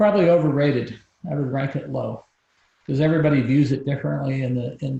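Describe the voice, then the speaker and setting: A man is talking. His pace is fairly quick. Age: 60s. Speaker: business founder and author. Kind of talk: interview. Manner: passionate.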